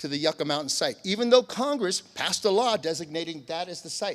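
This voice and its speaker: On a very clean recording with a silent background, a man with a high pitch speaks with lively intonation. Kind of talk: conference presentation. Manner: fast.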